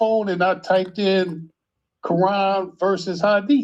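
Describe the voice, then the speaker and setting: At a fairly slow pace, a man speaks in a high pitch with fairly even intonation over a quiet background. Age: 60s. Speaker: caller. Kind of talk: casual chat. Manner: halting.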